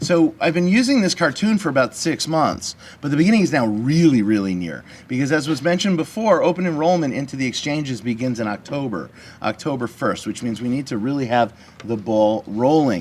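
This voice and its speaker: A man's fairly high voice, with very wide pitch swings at a fairly quick pace. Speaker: business lobbyist speaker. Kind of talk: talk to business audience. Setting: conference meeting with audience. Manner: fast; casual, halting with repetitions.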